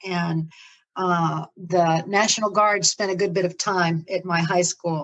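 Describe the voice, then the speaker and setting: An ordinary speaking voice from a woman with an American accent, fairly low in pitch, fairly slow and fairly even in intonation. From Florida, US South. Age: 60s. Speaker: ministry leader. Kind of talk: interview, life story.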